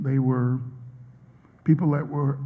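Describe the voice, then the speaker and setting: A man with an American accent speaks in a fairly high, somewhat breathy voice. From US South, Vicksburg, Mississippi. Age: 60s. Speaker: professor. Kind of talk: interview answers at a public talk. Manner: hesitant, many fillers.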